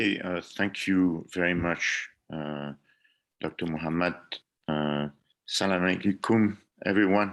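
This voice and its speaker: With a French accent, a man speaks at a fairly slow pace in a very deep, low pitch. He takes long, frequent pauses. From France. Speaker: engineering professor. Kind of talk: lecture presentation.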